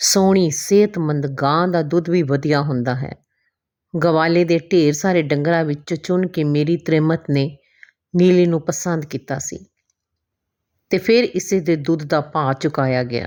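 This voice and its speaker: This woman has a very deep, low voice. Her pitch varies in an ordinary way. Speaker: Punjabi teacher, former radio anchor. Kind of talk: short story reading.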